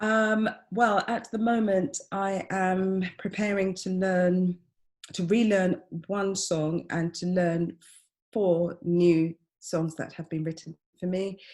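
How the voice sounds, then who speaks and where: A very slow delivery in a London accent with fairly even intonation. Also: woman, medium pitch for a woman. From East London, England. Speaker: experimental vocalist and composer. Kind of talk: interview answer.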